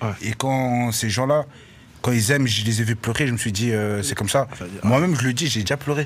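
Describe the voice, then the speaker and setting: This man has an unremarkable speaking voice. His pitch is medium with ordinary variation. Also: fairly quick pace. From Brussels, Belgium. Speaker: rapper. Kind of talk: casual chat. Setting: radio studio.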